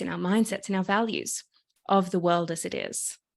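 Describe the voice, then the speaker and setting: Speaking with an Australian accent, a woman keeps a moderate pace and a medium pitch. Her pitch varies in an ordinary way over a quiet background. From Australia, Sydney. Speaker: activist and coach. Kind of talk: podcast interview.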